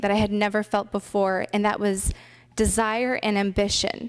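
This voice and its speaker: A plain, everyday voice with a General American accent moves at a moderate pace. The recording is very clean, with a silent background. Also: woman. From US West Coast, Richmond, California. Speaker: pilot. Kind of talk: conference presentation.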